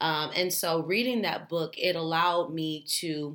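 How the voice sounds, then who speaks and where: A woman speaks with a bright, sharp tone at a fairly low pitch. Her intonation is fairly even. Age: 30s. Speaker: educator. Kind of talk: podcast interview.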